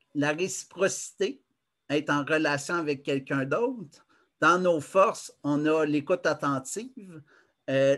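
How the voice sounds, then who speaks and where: This man speaks in a Quebec accent with a fairly high pitch. His pace is very slow. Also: quiet background. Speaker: conference presenter. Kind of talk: lecture. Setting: video call. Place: home room. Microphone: webcam.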